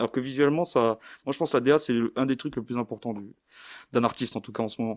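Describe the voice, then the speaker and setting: Here a man speaks very fast at medium pitch with fairly even intonation. The recording is very clean, with a silent background and a dry, close sound that has no echo. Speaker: rapper. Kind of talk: casual chat. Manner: halting, many repetitions and fillers.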